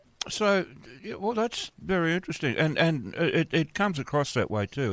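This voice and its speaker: On a very clean recording with a silent background and a dry, close sound with no echo, a man with an Australian accent speaks fairly quickly at a fairly high pitch. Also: very wide pitch swings. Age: 70s. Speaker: radio host. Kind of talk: casual interview. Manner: halting.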